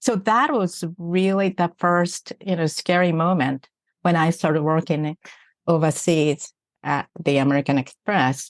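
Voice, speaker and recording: In a Japanese accent, a woman speaks at a fairly slow pace and fairly low pitch with ordinary pitch variation, the sound dry and close with no echo over a quiet background. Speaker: executive coach. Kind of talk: podcast interview.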